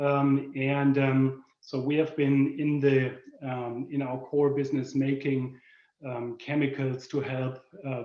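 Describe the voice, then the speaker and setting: Someone speaks with a German accent at a very slow pace. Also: man. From Germany. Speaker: corporate product manager. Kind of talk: presentation. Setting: video call. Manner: halting, many fillers.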